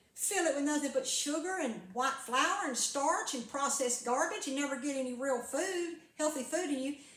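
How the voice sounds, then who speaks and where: A woman with a high pitch talks at a moderate pace with hardly any pauses and ordinary pitch variation, and room echo is audible. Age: 70s. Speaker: carnivore diet vlogger and former preacher. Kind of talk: casual monologue vlog. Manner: rambling with frequent hesitations and repeats.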